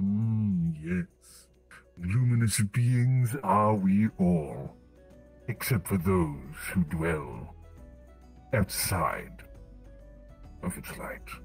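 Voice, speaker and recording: A man's put-on character voice, very deep and low, at a very slow pace with long, frequent pauses, very wide pitch swings and faint music in the background. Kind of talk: roleplay character voice. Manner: third-person speech, wistful, oddly formal.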